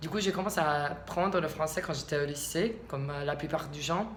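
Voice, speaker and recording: With noticeable background noise and audible room echo, a woman speaks at a very deep, low pitch. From US South, Alabama. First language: English (speaking French). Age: 20s. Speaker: vlogger. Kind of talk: casual vlog monologue. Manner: halting, many hesitations.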